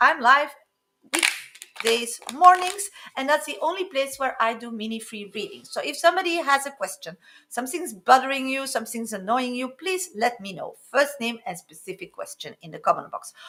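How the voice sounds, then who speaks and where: A woman speaks at a moderate pace in a raised, projected voice with a high pitch and a bright, sharp tone. Her pitch swings very widely and her loudness rises and falls sharply. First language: French. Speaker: psychic tarot reader. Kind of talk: live stream reading. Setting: live stream.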